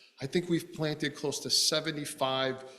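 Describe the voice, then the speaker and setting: A man is speaking. Music plays in the background. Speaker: property owner presenting to a planning board. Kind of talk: public testimony at a town meeting. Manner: fast.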